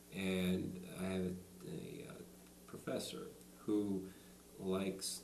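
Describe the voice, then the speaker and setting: Noticeable background noise mixed with audible echo from the room. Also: man. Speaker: person who stutters, college student. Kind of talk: interview. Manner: halting.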